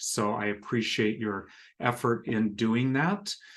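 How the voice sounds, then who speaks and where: Very slow pace from a man. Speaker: government grant program manager. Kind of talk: informational webinar presentation. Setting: video call.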